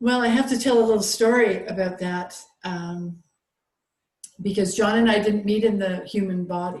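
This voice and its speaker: Recorded with audible room echo, a woman speaks at a moderate pace in a medium-pitched, somewhat breathy voice with fairly even intonation. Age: 60s. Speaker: holistic health practitioner. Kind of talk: casual interview conversation. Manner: halting, many fillers.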